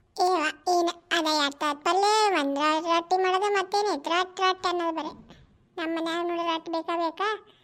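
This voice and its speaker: A woman puts on a character voice at an extremely high pitch, her intonation monotone and flat. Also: moderate pace. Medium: voice reel. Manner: blunt, earthy.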